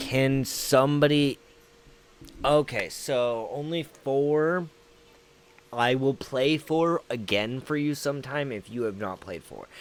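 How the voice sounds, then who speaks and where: A man with an American accent talks at a very slow pace and a fairly high pitch, with ordinary pitch variation and big swings in loudness. Noticeable background noise sits behind him. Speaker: gaming streamer. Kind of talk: casual chat.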